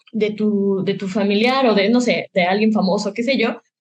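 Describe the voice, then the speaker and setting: A woman talks at a moderate pace in a fairly high, somewhat breathy voice with ordinary pitch variation. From Mexico, Michoacán (Morelia). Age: 20s. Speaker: film director and student. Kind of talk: interview. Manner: hesitant, many fillers.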